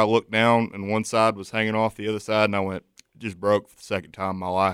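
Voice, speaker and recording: In a Southern US accent, a man speaks very fast at a fairly low pitch. The sound is dry and close with no echo, on a very clean recording with a silent background. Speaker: college student. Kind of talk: casual chat. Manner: loud.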